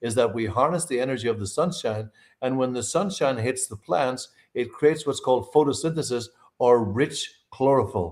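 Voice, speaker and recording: A man speaks at a medium pitch with ordinary pitch variation and a moderate pace. The recording is very clean, with a silent background. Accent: Irish. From Ireland. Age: 60s. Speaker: nutritionist and herbalist. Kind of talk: interview on a live podcast. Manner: animated.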